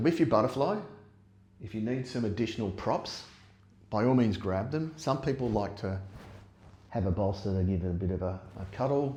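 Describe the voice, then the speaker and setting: Speaking at a moderate pace with long, frequent pauses, a man uses a fairly low, somewhat breathy voice with a dark, mellow tone. His pitch varies in an ordinary way, and the room echo is audible. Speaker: yoga teacher. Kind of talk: guided yoga class. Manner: gets quieter as practice goes on.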